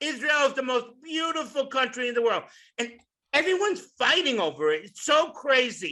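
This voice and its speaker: In a raised, projected voice with a bright, sharp tone, a man with extremely high pitch speaks at a moderate pace using lively intonation. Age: 60s. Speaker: stand-up comedian. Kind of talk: stand-up. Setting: stage with audience.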